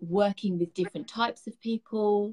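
The speaker has a British accent, heard against a quiet background. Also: woman. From London, England. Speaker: beauty direct sales guide. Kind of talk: interview answer. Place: home room. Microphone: video call.

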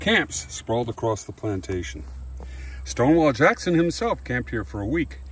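Light background noise behind a man's dry voice, free of echo. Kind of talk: reading aloud with brief commentary. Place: open country. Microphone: phone near.

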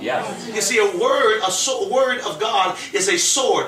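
A man's raised, projected, high-pitched voice over noticeable background noise. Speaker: preacher. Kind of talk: sermon. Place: home room.

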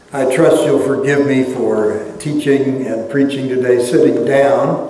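With light background noise and audible room echo, a man talks at a fairly slow pace, his fairly high voice holding a fairly even intonation. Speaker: church history lecturer and pastor. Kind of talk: lecture. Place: church. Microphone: lapel.

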